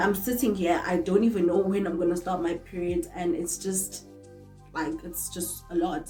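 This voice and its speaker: Music in the background behind a woman's fairly low voice at a moderate pace. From South Africa. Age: 20s. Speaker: makeup artist. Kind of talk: casual talk to camera.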